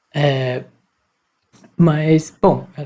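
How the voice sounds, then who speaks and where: A woman's very deep, low voice, dark and mellow in tone, somewhat breathy, with fairly even intonation. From Campos dos Goytacazes, Rio de Janeiro state, Brazil. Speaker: podcast co-host. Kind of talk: interview.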